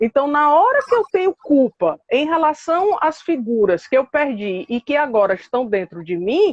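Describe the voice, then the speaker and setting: Recorded with a dry, close sound and no echo, a woman speaks at a moderate pace with hardly any pauses, her high pitch swinging very widely. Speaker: psychologist and professor. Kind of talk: live online talk on psychoanalysis. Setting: Instagram live video call. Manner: hesitant, many fillers.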